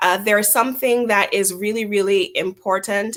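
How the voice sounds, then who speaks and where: This woman speaks with a Jamaican accent at a medium pitch. Her pace is moderate and her pitch varies in an ordinary way. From Jamaica, Montego Bay. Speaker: chamber of commerce executive. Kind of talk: interview.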